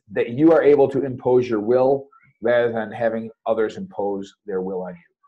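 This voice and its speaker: In a plain, everyday voice, a man speaks fairly quickly at a medium pitch with ordinary pitch variation. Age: 40s. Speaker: military officer and masters athlete. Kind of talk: casual chat.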